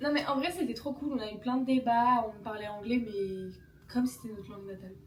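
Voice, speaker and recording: A woman speaks at a fairly high pitch and a fairly quick pace, with ordinary pitch variation and big swings in loudness. The room echo is audible, and there is noticeable background noise. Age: 20s. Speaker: vlogger. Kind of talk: casual chat. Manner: animated.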